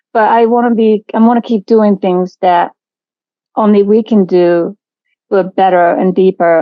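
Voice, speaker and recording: Speaking in a Japanese accent, a woman keeps a medium pitch and fairly even intonation. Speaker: artistic director of a jazz venue. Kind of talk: interview.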